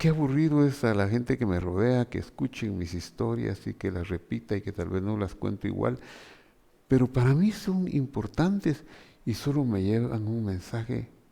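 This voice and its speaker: A man speaks with lively intonation at a medium pitch. His tone is dark and mellow. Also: moderate pace. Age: 70s. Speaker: pastor. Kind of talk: sermon.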